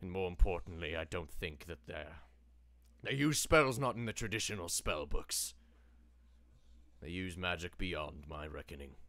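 At a moderate pace, a man uses a put-on character voice with a very deep, low pitch. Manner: grand, wry, slightly archaic.

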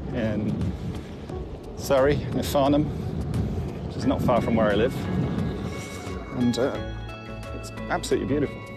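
A man talks with long, frequent pauses. Loud music plays in the background. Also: moderate pace, dry sound with no echo. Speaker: rider vlogger. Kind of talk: casual vlog chat. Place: open country.

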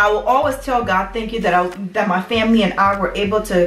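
A woman speaks at a fairly quick pace with fairly even intonation. Audible room echo surrounds her voice. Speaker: vlogger sharing immigrant experience. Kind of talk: casual vlog chat. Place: home room.

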